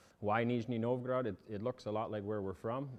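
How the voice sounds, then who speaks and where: With a Canadian accent, the speaker talks at a fairly quick pace and with fairly even intonation. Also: man. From Canada. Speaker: immigrant farmer, father of eight. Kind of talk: interview through interpreter. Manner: halting, many fillers.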